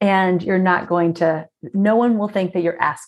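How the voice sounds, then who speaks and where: In an American accent, a woman with a medium pitch speaks at a fairly slow pace with ordinary pitch variation. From South Florida. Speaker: speaker and communication trainer. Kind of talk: casual interview chat. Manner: energetic.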